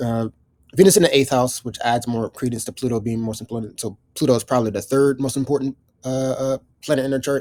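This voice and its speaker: Very fast and fairly even in intonation, a man's voice has a dark, mellow tone and a dry, close sound with no echo. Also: medium pitch for a man. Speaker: astrology teacher. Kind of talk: live astrology reading. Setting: video recording with client present. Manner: hesitant, many fillers.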